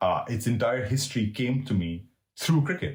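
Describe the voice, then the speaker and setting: A man's medium-pitched, somewhat breathy voice with lively intonation and audible room echo. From Middle East. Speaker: cricket writer and historian. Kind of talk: interview conversation. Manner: halting, many repetitions.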